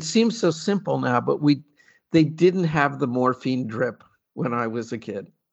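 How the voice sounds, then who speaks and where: Lively intonation marks this man's ordinary speaking voice, pitched fairly high. He talks at a fairly slow pace. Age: 60s. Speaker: patient advocate and artist. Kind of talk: interview, casual conversational.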